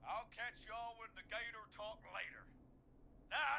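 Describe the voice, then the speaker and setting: Putting on a character voice with a drawling Southern accent, a man speaks at an extremely high pitch and a moderate pace with ordinary pitch variation, with clear background noise behind him. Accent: Southern, says y'all. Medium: video game. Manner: casual, drawling, says man a lot.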